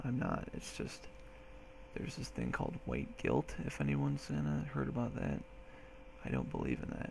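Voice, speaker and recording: Against noticeable background noise, a soft-spoken man talks with long, frequent pauses. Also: moderate pace. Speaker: military recruit. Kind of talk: casual talk to camera.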